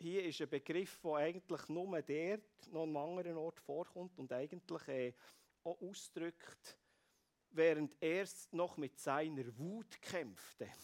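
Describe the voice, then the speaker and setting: A man with a fairly high pitch and ordinary pitch variation speaks at a very slow pace, the sound dry and close with no echo. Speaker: preacher. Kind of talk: sermon.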